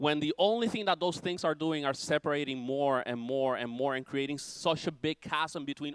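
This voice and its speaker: A man speaks in an ordinary speaking voice, fairly high in pitch, at a moderate pace. The sound is dry and close with no echo, on a very clean recording with a silent background. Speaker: preacher. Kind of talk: sermon.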